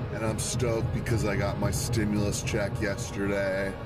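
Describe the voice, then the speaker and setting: A man speaks at a very slow pace. Clear music sounds in the background. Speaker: food reviewer. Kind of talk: casual vlog chat. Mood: happy, relaxed. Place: car. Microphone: phone near.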